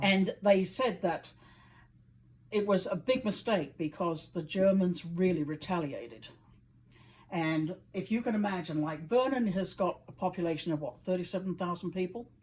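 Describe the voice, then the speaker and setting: A somewhat breathy woman with a British accent, medium pitch, ordinary pitch variation, and a moderate pace. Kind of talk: interview answer.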